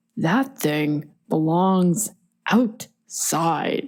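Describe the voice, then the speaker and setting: A booming put-on character voice, female-sounding, at a medium pitch for a woman. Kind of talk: gruff, disapproving.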